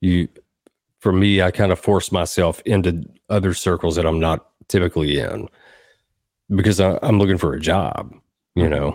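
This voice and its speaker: A Tennessee accent at a moderate pace, with ordinary pitch variation, long, frequent pauses, and a very clean recording with a silent background. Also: man, very deep, low pitch for a man. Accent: Southern US (Tennessee). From US South, Southern Middle Tennessee. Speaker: songwriter and producer. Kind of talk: casual interview.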